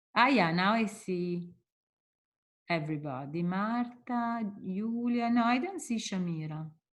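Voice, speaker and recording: A somewhat breathy voice with an Italian accent and lively intonation, fairly slow, with long, frequent pauses. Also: woman, medium pitch for a woman. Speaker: linguistics professor. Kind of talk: lecture.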